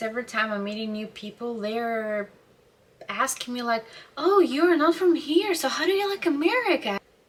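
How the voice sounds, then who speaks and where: Her voice high in pitch, a woman speaks with very wide pitch swings. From Ukraine. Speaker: vlogger. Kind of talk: casual monologue to camera. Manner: hesitant, many fillers.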